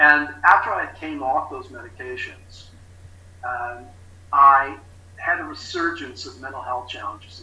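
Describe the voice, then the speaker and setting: Audible echo from the room fills the recording. A man speaks at a moderate speed. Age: 60s. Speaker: recovery specialist. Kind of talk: testimony. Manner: halting.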